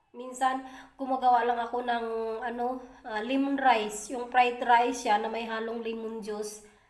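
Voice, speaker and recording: With audible room echo, a woman speaks fairly slowly in a high pitch and a monotone, flat intonation. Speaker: vlogger. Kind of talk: casual vlog talk. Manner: halting, many fillers.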